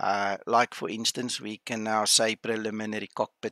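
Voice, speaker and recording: A man talks in an Afrikaans accent with a bright, sharp tone. His pitch is fairly low and his intonation fairly even. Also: dry, close sound with no echo, very clean recording, silent background. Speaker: flight sim streamer. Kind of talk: livestream commentary. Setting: home livestream. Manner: casual, hesitant.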